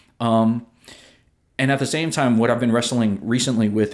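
An unremarkable speaking voice from a man, medium in pitch, with fairly even intonation on a very clean recording against a silent background. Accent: American. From American Samoa. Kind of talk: casual chat. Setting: studio.

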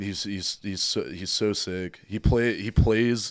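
A man with an American accent and fairly even intonation on a very clean recording with a silent background. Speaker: death metal vocalist. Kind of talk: casual chat. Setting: basement studio.

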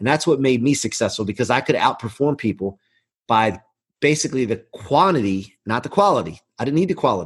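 A man speaks at a fairly quick pace and medium pitch, somewhat breathy, with very wide pitch swings over a quiet background. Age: 40s. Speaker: mortgage business leader. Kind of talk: casual interview.

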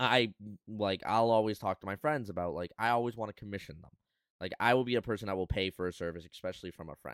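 Very fast and with big swings in loudness, a man with a fairly low pitch and ordinary pitch variation is heard on a very clean recording with a silent background and a dry, close sound with no echo. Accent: Canadian. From Canada. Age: 20s. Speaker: podcast host and streamer. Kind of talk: casual chat. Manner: casual.

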